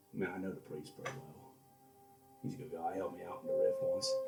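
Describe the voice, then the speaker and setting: Loud music plays in the background as a man rattles off lines very fast in a put-on character voice. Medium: actual play.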